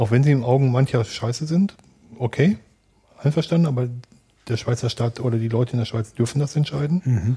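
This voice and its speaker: With long, frequent pauses, a man at medium pitch speaks at a fairly quick pace in a dark, mellow, somewhat breathy tone with ordinary pitch variation. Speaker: podcast co-host. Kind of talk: casual chat.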